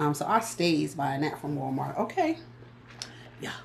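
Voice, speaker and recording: Speaking at a fairly quick pace in an American accent, a woman sounds animated and playful, with vocal fry. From US Northeast. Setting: home, filming herself on a tripod. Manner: chatty, animated, playful.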